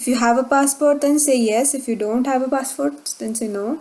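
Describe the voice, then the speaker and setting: A woman with a Marathi accent speaks in a high pitch with fairly even intonation. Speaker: tech tutorial YouTuber. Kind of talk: tutorial. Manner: hesitant with fillers.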